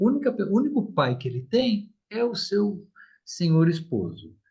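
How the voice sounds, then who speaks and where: This man speaks in a high pitch. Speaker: therapist giving a live talk. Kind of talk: online talk on parenting. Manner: animated, colloquial.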